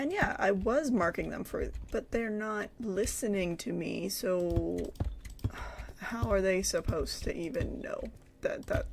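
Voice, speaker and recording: Clearly audible background noise behind a rather slow delivery. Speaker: teacher and gaming streamer. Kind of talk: casual gaming commentary with chat. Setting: at home, others in the house. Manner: quieter voice than usual; halting, many fillers.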